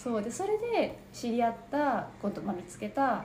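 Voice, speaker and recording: The speaker is soft-spoken. Noticeable background noise and audible room echo fill the recording. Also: woman. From Japan. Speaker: interview guest. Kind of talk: personal testimony. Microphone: quieter than host.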